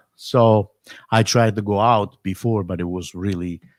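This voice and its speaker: A man with an Italian accent, fairly low pitch, and fairly even intonation, in a dry, close sound with no echo. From Italy. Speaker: drummer and drum teacher. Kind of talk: casual live stream chat. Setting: home live stream. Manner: halting.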